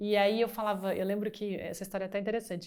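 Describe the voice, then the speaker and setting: A woman speaks at a very fast pace. Her medium pitch stays monotone and flat. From Brazil, Brasília. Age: 50s. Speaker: business executive. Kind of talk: interview. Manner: halting.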